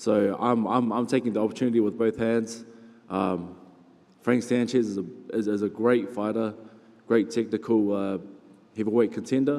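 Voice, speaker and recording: Speaking in a New Zealand accent, a man uses fairly even intonation and takes long, frequent pauses. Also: medium pitch for a man, moderate pace. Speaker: heavyweight boxer. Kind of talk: press conference interview.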